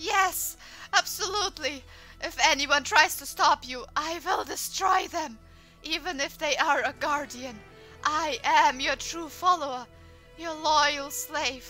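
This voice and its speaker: A breathy, female-sounding put-on character voice with a high pitch for a woman moves at a fairly slow pace over clear music in the background. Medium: audio drama. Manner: breathy, moist, adoring.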